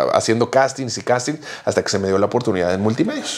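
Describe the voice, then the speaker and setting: The man speaks very fast. His pace barely lets up. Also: quiet background. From Mexico. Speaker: podcast co-host. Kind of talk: casual chat. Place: home room. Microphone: lapel.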